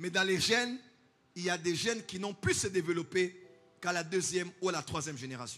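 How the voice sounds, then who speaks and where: A man with a high pitch and a bright, sharp tone talks at a fairly quick pace with ordinary pitch variation. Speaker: pastor. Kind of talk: sermon.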